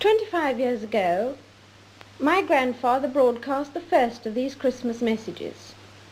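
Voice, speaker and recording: A woman speaks at a high pitch with very wide pitch swings. Noticeable background noise runs underneath. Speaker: monarch. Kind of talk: formal televised Christmas address. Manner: measured, formal.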